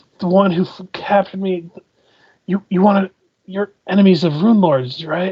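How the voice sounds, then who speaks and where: A strained, put-on character voice sits at a middle pitch and keeps a moderate pace. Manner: stressed, questioning.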